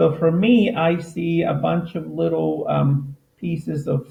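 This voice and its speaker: A man with an unremarkable speaking voice talks with lively intonation at a fairly high pitch. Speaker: teacher. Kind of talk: tutorial.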